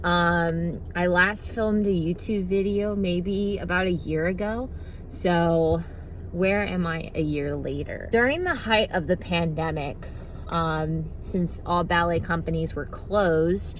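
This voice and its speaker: A woman talks fairly slowly, her voice carrying audible room echo. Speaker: vlogger and professional ballet dancer. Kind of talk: casual vlog chat. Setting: in a car on the ride back.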